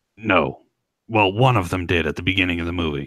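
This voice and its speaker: A put-on character voice, raspy and fairly quick, moves with ordinary pitch variation. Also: man, very deep, low pitch for a man. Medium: game stream. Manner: exasperated, explanatory.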